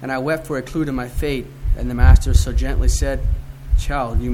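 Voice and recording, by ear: Someone is reading aloud in a natural voice.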